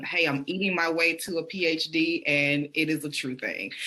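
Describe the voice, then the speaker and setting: A woman with a Southern accent speaks in a fairly low pitch. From US South, Birmingham, Alabama. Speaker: PhD researcher and podcaster. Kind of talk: interview.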